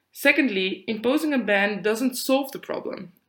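This woman speaks with a Dutch accent and ordinary pitch variation. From Netherlands. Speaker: student podcast co-host. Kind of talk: prepared discussion, partly read.

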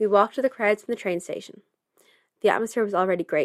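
Recorded with a dry, close sound, no echo and a silent background, this very clean clip features a woman with a Dublin accent. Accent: Dublin Irish. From Ireland, Dublin. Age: 20s. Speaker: podcast host. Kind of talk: scripted narration.

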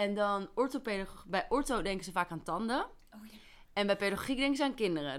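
In a very clean recording with a silent background, a woman with an unremarkable speaking voice talks at a fairly quick pace with lively intonation. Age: 20s. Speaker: forensic remedial educationalist. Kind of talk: casual chat.

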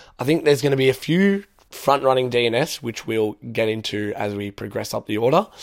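This man's intonation is lively. The recording is very clean, with a silent background. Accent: Australian. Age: young. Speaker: student podcaster. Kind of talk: casual solo podcast Q&A.

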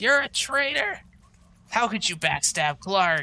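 A put-on character voice delivers the lines at a fairly slow pace. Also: man, high pitch for a man. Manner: yelling, accusatory.

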